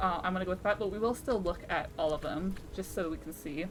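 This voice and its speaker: A woman at medium pitch talks at a fairly quick pace with lively intonation, music playing in the background. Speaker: streamer. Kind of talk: let's play livestream. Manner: fast.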